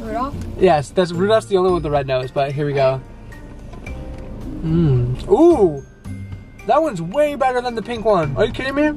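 Over clear music in the background, a man speaks at a moderate pace with long, frequent pauses, in a dry sound with no echo. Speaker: vlogger. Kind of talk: casual vlog chat. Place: car. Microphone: camera far.

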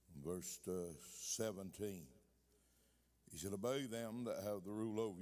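A man speaks at a fairly slow pace with a dark, mellow tone and low pitch. His pitch varies in an ordinary way.

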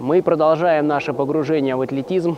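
A man speaks in a monotone, flat intonation, the sound dry with no echo and light background noise behind him. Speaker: fitness trainer. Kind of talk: tutorial. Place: forest. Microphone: lapel.

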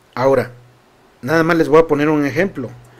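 The voice is a man's, pitched fairly high. His tone is animated. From Mexico. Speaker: political news commentator. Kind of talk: news commentary livestream. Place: studio. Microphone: studio mic.

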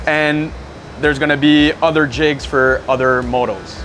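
A man speaks fairly slowly. Background music accompanies his voice. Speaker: factory engineer guide. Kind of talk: interview answer. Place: factory.

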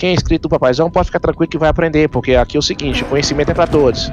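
Noticeable noise fills the background. A man talks at a fairly high pitch. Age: 30s. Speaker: gaming streamer. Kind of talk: live gameplay chat. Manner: animated.

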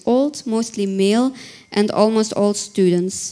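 A woman's dark, mellow tone with fairly even intonation. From Belgium. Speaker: researcher; conference presenter. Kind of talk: conference presentation. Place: hall. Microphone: handheld.

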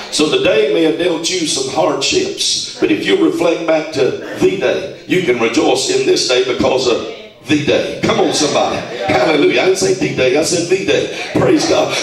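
A man speaks at a moderate pace with hardly any pauses. Noticeable background noise and audible room echo fill the recording. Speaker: preacher. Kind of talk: fervent live sermon prayer, scripture-citing call-and-response. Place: shop.

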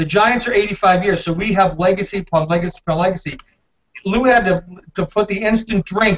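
This man's voice is high-pitched, moving at a fairly quick pace with ordinary pitch variation. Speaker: football team sales executive. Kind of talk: video call panel interview. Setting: video call from building common area. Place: home room. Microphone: video call.

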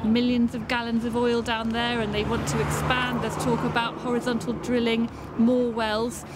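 A woman talks at a moderate pace over loud background noise. The sound is dry with no echo. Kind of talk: interview answer. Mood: concerned but calm. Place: street. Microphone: camera far.

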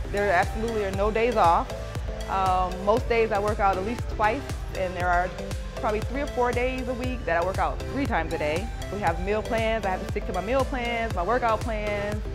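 Woman at a fairly quick pace, clear music in the background. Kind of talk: interview answer. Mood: proud, sentimental. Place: gym.

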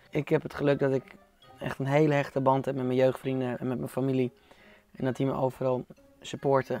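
A man speaks at a fairly quick pace in a dry sound with no echo, faint music playing in the background. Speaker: interview guest. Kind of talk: interview answer. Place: studio. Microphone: lapel.

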